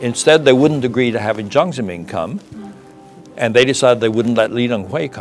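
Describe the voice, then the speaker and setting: A man's pitch moves in an ordinary way while faint music sounds behind him. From China (Sichuan). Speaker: retired ambassador, diplomat. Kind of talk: interview answer. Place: studio.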